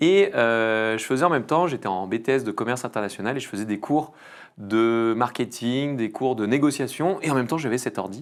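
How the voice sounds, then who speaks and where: The speaker is a man with a plain, everyday voice. The recording is very clean, with a silent background. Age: 30s. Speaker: entrepreneur, agency founder. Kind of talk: podcast interview. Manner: casual, filler-heavy.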